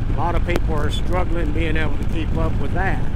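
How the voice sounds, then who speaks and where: Amid loud background noise, a woman is heard in a dry sound with no echo. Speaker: motorcycle vlogger. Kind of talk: casual vlog chat. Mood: critical, ranting about politics. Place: motorbike.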